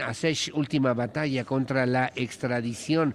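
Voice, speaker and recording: With a plain, everyday voice, a man talks at a fairly slow pace, his medium pitch showing ordinary pitch variation. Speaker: radio news anchor. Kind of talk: news reading. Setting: live broadcast on location.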